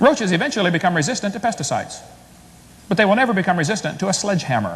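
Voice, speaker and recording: A man with an American accent talks at a very fast pace and a high pitch. Noticeable background noise can be heard. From US Midwest, Illinois. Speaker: creationist debater. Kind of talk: debate presentation. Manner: animated.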